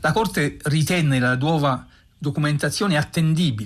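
Against a quiet background, a man speaks at a fairly slow pace in a fairly high, somewhat breathy voice with lively intonation. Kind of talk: documentary radio narration. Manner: grave, measured, formal; steady, even, unhurried verdict-reading cadence.

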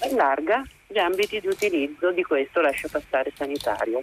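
Noticeable background noise sits behind a woman with a fairly low voice. Her pitch swings very widely as she talks at a moderate pace. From Lombardy, Monza area. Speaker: caller. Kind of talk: radio call-in. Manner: hesitant, many fillers.

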